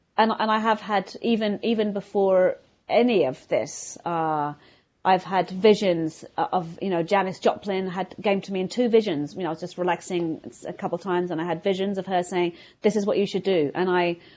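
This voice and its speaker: Speaking with a London accent, a woman uses a medium pitch and ordinary pitch variation. Her pace is moderate and the background is quiet. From London, England. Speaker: violinist. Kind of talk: casual interview. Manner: halting.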